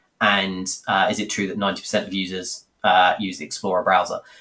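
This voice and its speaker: Against a quiet background, a man with a British accent talks at a fairly quick pace. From Britain. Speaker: software company host. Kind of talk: webinar Q&A. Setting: webinar call. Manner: fast; hesitant with fillers.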